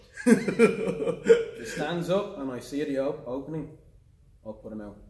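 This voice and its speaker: A man with an Irish accent, fairly high in pitch, at a fairly slow pace, with very wide pitch swings, big swings in loudness, audible room echo and noticeable background noise. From Ireland, Dublin. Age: 20s. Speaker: MMA fighter. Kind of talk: pre-fight interview. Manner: intense, aggressive.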